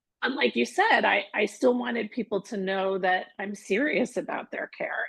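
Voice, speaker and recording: The sound is dry and close with no echo. A woman speaks at medium pitch and a moderate pace, somewhat breathy. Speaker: holistic wellness practitioner. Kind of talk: casual interview chat.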